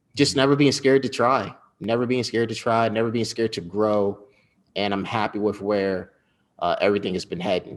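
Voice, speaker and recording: A man's plain, everyday voice with an American accent, fairly quick pace and ordinary pitch variation, in a very clean recording with a silent background. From US Northeast, Westchester County, New York. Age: 20s. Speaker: journalist and entrepreneur. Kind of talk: interview. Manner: casual.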